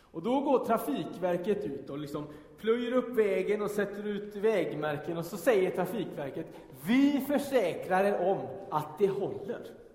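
Lively in intonation and high in pitch, a man speaks through noticeable background noise and audible room echo. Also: fairly slow pace. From Gothenburg southern archipelago, Sweden. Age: 30s. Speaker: pastor. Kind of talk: sermon. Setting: church.

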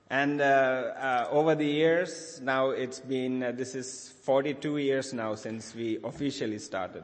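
A man talks at a very slow pace with hardly any pauses. His intonation stays fairly even. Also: medium pitch for a man. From Sri Lanka. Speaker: charity leader speaking at church. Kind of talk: sermon with interpreter. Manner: halting.

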